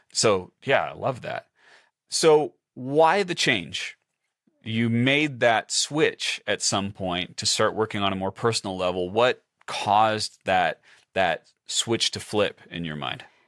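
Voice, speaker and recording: The pace is very slow, but the intonation is lively. The sound is dry and close, with no echo. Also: man, medium pitch for a man. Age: 40s. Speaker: podcast host, productivity coach. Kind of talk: interview.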